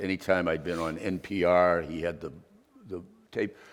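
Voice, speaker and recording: Speaking at a fairly slow pace, a man with a Boston accent has a very deep, low pitch. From Boston area, Massachusetts. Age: 70s. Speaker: investigative journalist. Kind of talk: masterclass interview.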